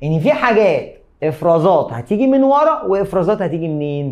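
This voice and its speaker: His pitch swings very widely as the man speaks at a moderate pace. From Egypt. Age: 30s. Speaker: biology teacher. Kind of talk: lecture. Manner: animated. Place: studio.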